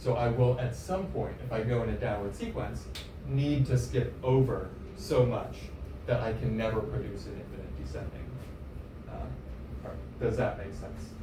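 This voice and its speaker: A man at a moderate pace, with big swings in loudness, audible room echo, and noticeable background noise. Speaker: mathematics lecturer. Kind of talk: lecture.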